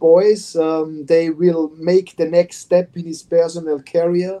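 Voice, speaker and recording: In a German accent, a man speaks at a very slow pace with a high pitch and a dark, mellow tone. His intonation is monotone and flat. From Austria. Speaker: football head coach. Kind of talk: interview. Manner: halting.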